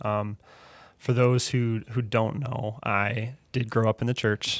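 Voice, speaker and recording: A man with an American accent talks at a fairly slow pace in a medium pitch. His intonation is flat and monotone, and the recording is very clean with a silent background. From Wisconsin, US Midwest. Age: 30s. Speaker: pastor. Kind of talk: testimony.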